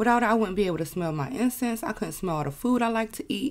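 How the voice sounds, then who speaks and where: A woman speaks at a very fast pace. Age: 20s. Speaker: podcast host. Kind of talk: monologue podcast. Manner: casual, conversational.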